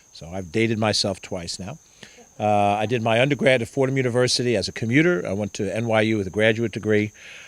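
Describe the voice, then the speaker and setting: Speaking very fast with an American accent, a man uses a fairly low pitch with ordinary pitch variation and big swings in loudness. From Mount Vernon, New York, US. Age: 60s. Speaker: politician. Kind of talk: campaign talk. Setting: house party with audience.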